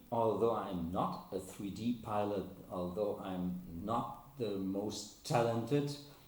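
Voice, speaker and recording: A man at a fairly slow pace, with ordinary pitch variation and audible room echo. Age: 60s. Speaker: RC helicopter hobbyist. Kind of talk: casual vlog talk. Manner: halting, many repetitions.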